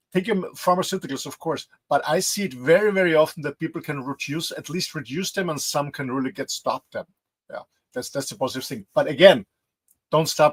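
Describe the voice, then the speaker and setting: With a dry, close sound and no echo, a somewhat breathy man talks at a fairly quick pace and a fairly high pitch, showing ordinary pitch variation and big swings in loudness. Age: 60s. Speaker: health and fitness coach. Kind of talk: interview. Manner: halting.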